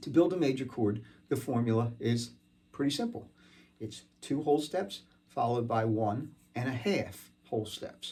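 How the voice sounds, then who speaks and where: This man has a medium-pitched, somewhat breathy voice with a dark, mellow tone. His pitch varies in an ordinary way. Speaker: guitar teacher. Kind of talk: tutorial.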